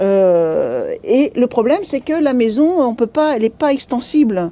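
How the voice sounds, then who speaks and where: The voice has a dark, mellow tone and very wide pitch swings. It moves at a fairly slow pace with very even loudness. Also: woman, high pitch for a woman. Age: 60s. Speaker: bookshop employee. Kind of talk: interview. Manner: hesitant, many fillers.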